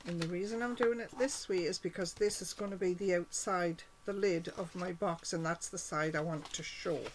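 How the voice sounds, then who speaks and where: The woman has an unremarkable speaking voice at medium pitch, with ordinary pitch variation. She keeps a moderate pace with hardly any pauses. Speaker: cardmaking demonstrator. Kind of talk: tutorial.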